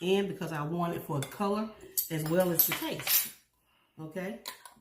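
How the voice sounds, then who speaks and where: With an American accent, a woman speaks at a fairly low pitch in a somewhat breathy voice. Her pace is fairly slow, and audible room echo surrounds her. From US South, Louisiana. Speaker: cooking channel host. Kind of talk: cooking tutorial. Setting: home kitchen. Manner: casual, chatty.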